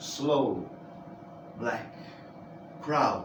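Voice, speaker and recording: A man speaking at a very slow pace, with audible room echo and noticeable background noise. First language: Italian. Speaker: amateur reader. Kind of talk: reading aloud.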